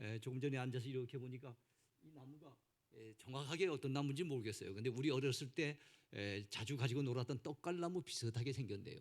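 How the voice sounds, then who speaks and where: Talking at a very fast pace with a Gangwon accent, a man of medium pitch shows ordinary pitch variation and big swings in loudness. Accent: mostly Gangwon. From South Korea, Gangwon Province. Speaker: pastor. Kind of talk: sermon. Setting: church.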